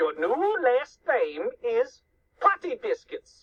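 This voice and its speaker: Using a put-on character voice, a woman speaks at a very slow pace in an extremely high pitch. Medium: read story. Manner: shouting, gleeful, bossy.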